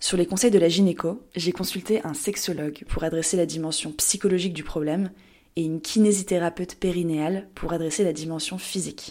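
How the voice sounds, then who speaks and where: A fairly quick, dark and mellow voice with fairly even intonation, on a very clean recording with a silent background. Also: woman, fairly low pitch for a woman. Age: 20s. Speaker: podcast host. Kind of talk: scripted personal narration.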